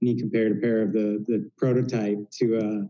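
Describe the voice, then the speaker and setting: In a Southwest US accent, a man speaks at medium pitch and a moderate pace, his tone dark and mellow and his intonation fairly even. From Phoenix, Arizona. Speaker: denim brand founder. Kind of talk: casual chat. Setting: video call. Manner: halting.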